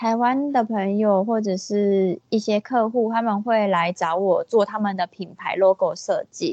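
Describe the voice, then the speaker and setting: Against a quiet background, a woman with a dark, mellow tone and a fairly high pitch speaks at a fairly slow pace. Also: ordinary pitch variation, dry, close sound with no echo. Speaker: freelance illustrator. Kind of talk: casual interview. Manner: hesitant, many fillers.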